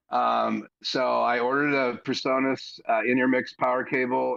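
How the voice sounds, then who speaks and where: A man speaks with a quiet background behind him. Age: 60s. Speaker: live stream guest, church audio hobbyist. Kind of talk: casual chat.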